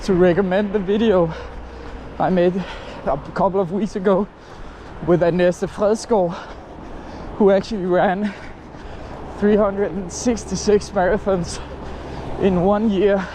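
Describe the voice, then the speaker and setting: A high-pitched man with a Danish accent, fairly slow and monotone, flat in intonation, with long, frequent pauses over noticeable background noise. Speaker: running vlogger. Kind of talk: casual vlog. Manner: halting.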